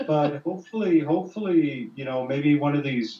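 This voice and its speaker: The man's pitch is fairly high and his intonation lively. He keeps a moderate pace. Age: 50s. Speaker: musician. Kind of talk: casual chat. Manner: animated.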